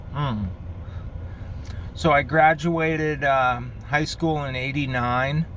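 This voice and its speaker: Speaking very slowly with long, frequent pauses, a man in a New York accent has a relaxed tone, a fairly high pitch and fairly even intonation. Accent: New York area American. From Connecticut, Bridgeport (New York City area). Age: 50s. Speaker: pipe smoking vlogger. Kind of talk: casual vlog monologue. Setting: in a car. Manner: relaxed, with fillers and pauses.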